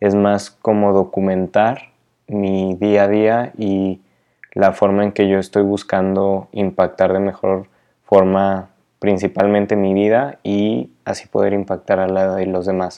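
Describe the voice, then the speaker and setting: Very slowly, a man talks. His delivery is monotone and flat. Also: fairly low pitch for a man. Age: 20s. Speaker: podcaster and photographer. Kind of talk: casual monologue. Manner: halting, many repeated words.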